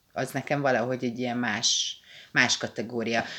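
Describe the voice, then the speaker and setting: A woman speaks at a fairly quick pace. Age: 30s. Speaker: podcast co-host. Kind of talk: casual chat.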